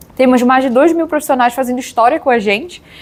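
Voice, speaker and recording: A woman speaks in a high voice with an ordinary amount of pitch variation. She talks in a Pará accent. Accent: Pará accent, drawn-out S. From Brazil, Pará (northern Brazil). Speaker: HR professional, meetup speaker. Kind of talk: conference talk. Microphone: audio problems in much of the video.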